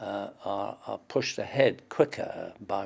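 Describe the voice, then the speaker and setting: With a Manx accent, a man speaks at a fairly slow pace. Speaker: war veteran. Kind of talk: interview. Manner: halting.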